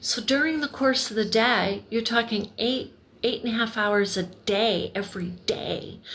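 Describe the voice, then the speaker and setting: Amid noticeable background noise, a woman with a fairly high pitch speaks at a moderate pace with fairly even intonation. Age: 60s. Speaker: crafter and video creator. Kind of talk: casual livestream chat while crocheting. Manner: meandering, self-correcting.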